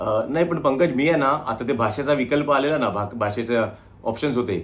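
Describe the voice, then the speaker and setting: A man at a medium pitch with ordinary pitch variation, in a Marathi accent. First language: Marathi (speaking Hindi). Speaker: small business owner. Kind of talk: customer service phone complaint.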